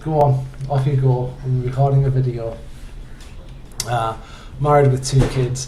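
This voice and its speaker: A man speaks at a fairly slow pace in a monotone, flat voice with long, frequent pauses. Audible room echo and noticeable background noise fill the recording. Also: medium pitch for a man. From northeast England, Hartlepool. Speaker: university instructor. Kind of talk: course introduction video. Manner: halting, many fillers.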